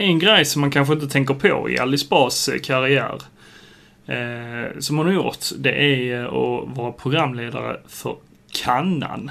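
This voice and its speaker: Noticeable background noise sits behind a man talking at a fairly slow pace, medium pitch and ordinary pitch variation. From southern Sweden, Skåne (Sjöbo). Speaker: podcast co-host. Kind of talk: casual chat.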